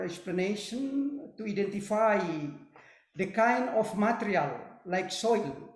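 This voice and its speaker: Amid audible room echo, a man with a high voice speaks at a very slow pace. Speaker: professor. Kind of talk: webinar Q&A. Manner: halting.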